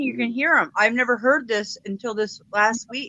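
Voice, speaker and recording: A woman speaks at a moderate pace with a fairly high pitch. She has a plain, everyday voice. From Detroit, Michigan. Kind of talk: casual chat.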